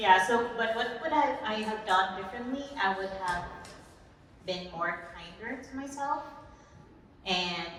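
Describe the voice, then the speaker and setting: Her intonation is lively while she speaks at a fairly slow pace. Audible room echo and noticeable background noise surround this woman's voice. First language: not English. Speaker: college alumni panelist. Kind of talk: panel discussion.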